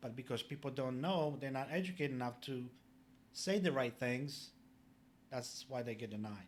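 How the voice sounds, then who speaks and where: Speaking with a Polish accent, a man keeps a moderate pace. His medium pitch shows ordinary pitch variation. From Poland. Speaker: public adjuster, business owner. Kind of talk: podcast interview.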